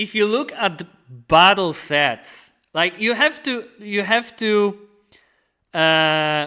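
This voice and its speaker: Raising and projecting his high-pitched voice, a man speaks with lively intonation in a very clean recording with a silent background. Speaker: DJ battle judge and streamer. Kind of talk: live stream commentary. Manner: hesitant, many fillers.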